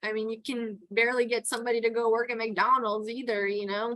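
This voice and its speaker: This woman speaks with a Texan accent at a moderate pace. Her voice is fairly high-pitched. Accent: Texan accent, formerly New York. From New York (Queens). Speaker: towboat pilot and port captain. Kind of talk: interview conversation. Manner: casual with many fillers.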